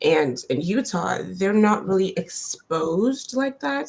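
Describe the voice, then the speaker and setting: The speaker has a non-native accent and sounds somewhat breathy. The pace is very slow. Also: woman. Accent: foreign. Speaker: immigrant professional panelist. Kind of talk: panel discussion. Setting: live-stream.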